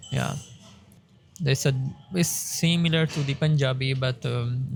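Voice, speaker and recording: There is noticeable background noise throughout. Against it, a man talks at a fairly slow pace. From Pakistan, southern Punjab (Saraiki-speaking). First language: Saraiki. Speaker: doctoral researcher. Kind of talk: interview. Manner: halting, many self-corrections.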